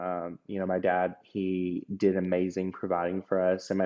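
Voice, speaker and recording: Very deep, low pitch from a man with an American accent. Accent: Georgia accent, stronger than usual today. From US South, Georgia. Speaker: podcast guest, former drag queen. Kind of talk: personal testimony interview. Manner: hesitant, many fillers and restarts.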